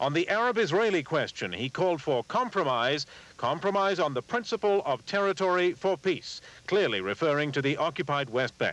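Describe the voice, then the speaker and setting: A man's high-pitched voice with very wide pitch swings and very even loudness. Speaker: TV news anchor. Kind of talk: TV news report.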